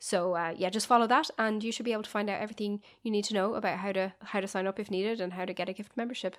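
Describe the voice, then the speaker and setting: The recording is very clean, with a silent background. The speech runs at a very fast pace with fairly even intonation. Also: woman, medium pitch for a woman. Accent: Irish. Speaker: podcast co-host. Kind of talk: casual chat.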